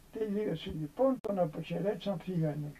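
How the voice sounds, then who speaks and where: The man's tone is dark and mellow. He talks at a fairly slow pace. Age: 80s+. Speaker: elderly monk. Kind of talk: storytelling.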